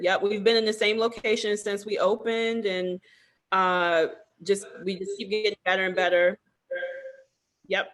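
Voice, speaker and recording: Monotone, flat delivery in an American accent at a moderate pace, broken by long, frequent pauses. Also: woman, medium pitch for a woman. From US, Baltimore, Maryland. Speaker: salon owner and master cosmetologist. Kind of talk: interview. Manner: hesitant, many fillers.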